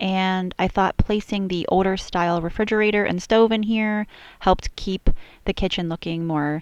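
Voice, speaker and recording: At a moderate pace, a woman speaks in an ordinary speaking voice, medium in pitch with ordinary pitch variation. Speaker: video game builder. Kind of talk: voiceover commentary. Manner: casual.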